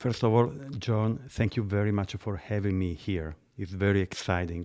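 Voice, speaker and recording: With an Italian accent, a man speaks at a moderate pace and fairly low pitch with ordinary pitch variation, in a very clean recording with a silent background. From central Italy. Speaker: gelato maker and business owner. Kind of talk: casual interview. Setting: studio.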